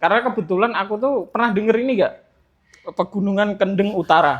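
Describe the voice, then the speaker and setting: At a fairly quick pace, a man speaks with a strong Central Javanese accent at a high pitch and with ordinary pitch variation. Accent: strong Central Javanese (medok). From Central Java, Grobogan regency. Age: 20s. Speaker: street library activist. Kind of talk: casual podcast interview. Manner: halting, with fillers.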